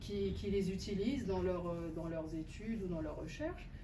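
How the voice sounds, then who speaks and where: A woman speaks at a fairly slow pace with a North African accent, her pitch medium and its variation ordinary. Audible room echo surrounds her voice. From Algeria, Algiers. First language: Berber (speaking French). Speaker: poet and translator. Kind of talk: author talk answering a question. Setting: bookshop event with audience. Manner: halting, many hesitations.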